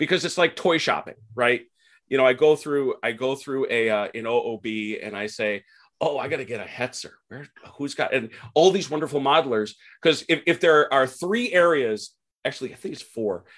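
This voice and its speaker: On a very clean recording with a silent background, a man with an American accent and a plain, everyday voice speaks at a fairly high pitch and a moderate pace, his intonation lively and his loudness swinging widely. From Milwaukee, Wisconsin. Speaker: wargamer. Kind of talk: casual interview.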